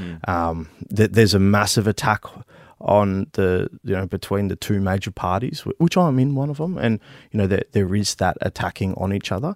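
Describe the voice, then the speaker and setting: A man with an Australian accent at a moderate pace, on a very clean recording with a silent background. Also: dry, close sound with no echo. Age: 30s. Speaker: politician, army veteran. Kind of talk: interview. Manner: halting, many fillers and repeats.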